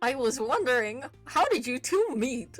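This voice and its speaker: A high, female-sounding voice is put on as a character. Faint music plays in the background. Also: moderate pace. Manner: put-on, comical.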